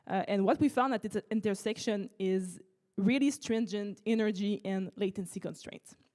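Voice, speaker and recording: At a moderate pace, a woman with a French accent speaks at a medium pitch in a dark, mellow tone, with ordinary pitch variation. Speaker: startup researcher. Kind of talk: conference talk. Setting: auditorium with audience.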